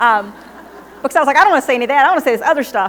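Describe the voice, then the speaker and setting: There is noticeable background noise in this clip. A woman talks with a Texan accent. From Texas. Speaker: business executive. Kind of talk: keynote speech. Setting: stage with audience.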